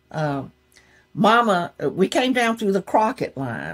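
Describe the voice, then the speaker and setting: Speaking in a Southern US accent, a woman takes a fairly slow pace. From Gulfport, Mississippi. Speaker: poet laureate, songwriter. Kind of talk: interview answer. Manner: casual storytelling.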